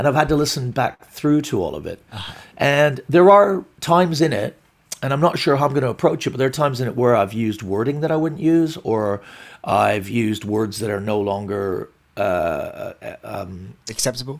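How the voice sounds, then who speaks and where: A man with a plain, everyday voice, medium pitch and lively intonation at a moderate pace, on a very clean recording with a silent background. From Glasgow, Scotland, and Canada. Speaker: stand-up comedian. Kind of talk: casual interview.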